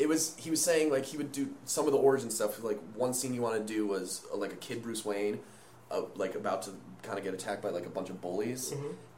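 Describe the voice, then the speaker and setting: Talking at a very fast pace, a man with a medium pitch and lively intonation is heard over noticeable background noise and audible room echo. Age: 20s. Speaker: podcast co-host. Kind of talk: casual chat.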